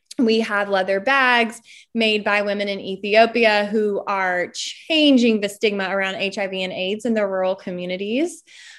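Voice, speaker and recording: Against a quiet background, a woman with an American accent and an unremarkable speaking voice talks at a moderate pace and medium pitch, with ordinary pitch variation. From Eastern North Carolina (Smithfield). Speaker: entrepreneur and speaker. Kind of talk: casual interview. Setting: video call.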